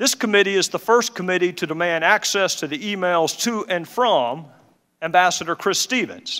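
A man with a Southern US accent speaks at a high pitch with lively intonation. His tone is bright and sharp. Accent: Southern drawl. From Southern United States. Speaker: congressman, committee chairman, former prosecutor. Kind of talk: opening statement at a congressional hearing. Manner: measured.

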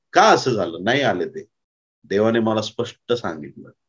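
Very wide pitch swings over a quiet background. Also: man. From Maharashtra, India. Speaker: pastor. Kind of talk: sermon. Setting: conference with audience. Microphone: lapel.

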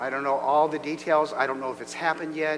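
A man is speaking while music plays behind him. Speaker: pastor. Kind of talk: announcements and prayer. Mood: warm, then solemn. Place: church.

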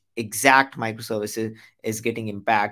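A man with a fairly low pitch at a moderate pace, against a quiet background. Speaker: tech educator. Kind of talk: tutorial.

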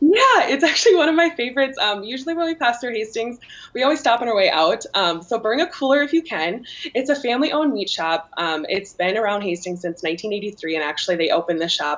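A woman talks at a very fast pace, her pitch swinging very widely. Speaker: remote guest. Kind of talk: interview answer. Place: home room. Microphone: video call.

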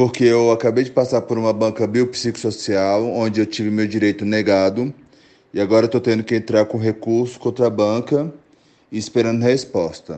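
A man with an unremarkable speaking voice talks at a moderate pace and medium pitch. His intonation stays fairly even. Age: 30s. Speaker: listener, history teacher. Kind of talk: recorded voice message. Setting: WhatsApp voice message.

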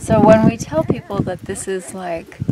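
Loud background noise surrounds a woman's voice, which sounds dry with no echo. She keeps a moderate pace. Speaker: travel vlogger. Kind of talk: casual vlog chat. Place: open country.

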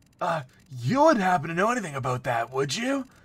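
Using a put-on character voice, a man talks very fast at a high pitch with very wide pitch swings. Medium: game stream.

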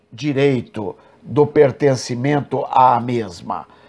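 A man with a Brazilian accent talks at a very slow pace. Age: 60s. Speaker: evangelical preacher and program host; evangelical preacher, program host. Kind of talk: religious commentary monologue. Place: home room. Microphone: earbuds.

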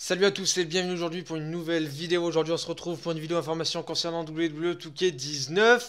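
Over noticeable background noise, a man with a high pitch talks at a very fast pace with hardly any pauses and fairly even intonation. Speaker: gaming YouTuber. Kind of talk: casual video commentary.

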